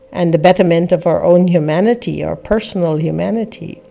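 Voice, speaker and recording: A woman speaks over noticeable background noise. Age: 60s. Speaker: spiritual teacher and podcast host. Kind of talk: reflective spiritual talk.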